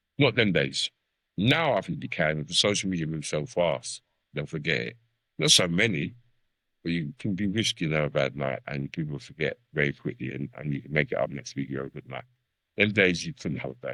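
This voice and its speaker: With a very deep, low pitch, vocal fry and a bright, sharp tone, a man talks at a fairly quick pace in a dry, close sound with no echo. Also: ordinary pitch variation, big swings in loudness. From South London. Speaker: veteran MC. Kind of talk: podcast interview.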